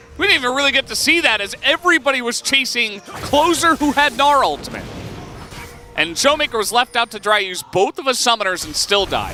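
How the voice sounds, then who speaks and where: Over music in the background, a man with an extremely high pitch uses a raised, projected voice, talking at a fairly quick pace with lively intonation and an animated tone in a dry, close recording with no echo. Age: middle-aged. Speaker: esports caster. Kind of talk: live commentary.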